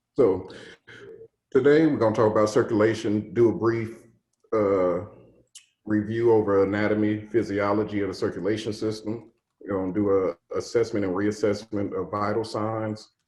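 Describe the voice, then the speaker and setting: A man with a fairly low pitch talks at a moderate pace with fairly even intonation, and room echo can be heard. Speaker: EMS first aid instructor. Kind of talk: lecture.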